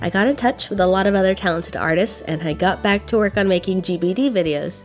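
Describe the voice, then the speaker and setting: A woman speaks at a very fast pace, her pitch medium. Her pitch varies in an ordinary way, with music in the background. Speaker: artist and art student. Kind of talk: casual talk to camera.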